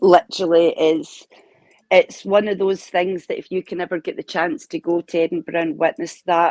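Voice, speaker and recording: A dry, close sound with no echo, in a Scottish accent. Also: woman, fairly low pitch for a woman, ordinary pitch variation, moderate pace. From Scotland. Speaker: chat guest. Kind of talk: casual chat.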